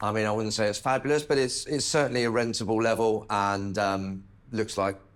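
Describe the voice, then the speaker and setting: Using a normal speaking voice, a man talks at a moderate pace in a fairly low pitch with ordinary pitch variation. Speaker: auctioneer and property expert on a TV property show. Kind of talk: TV property-show expert commentary.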